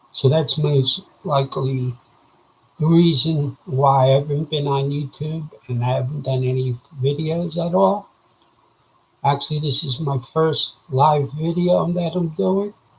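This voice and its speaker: A man is speaking with ordinary pitch variation. His voice is somewhat breathy. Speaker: vlogger sharing medical recovery. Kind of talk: casual video update. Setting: live video. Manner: hesitant, with frequent fillers.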